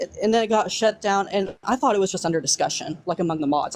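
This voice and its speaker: A woman with a Southern US accent speaks at a very fast pace. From US South. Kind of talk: casual chat.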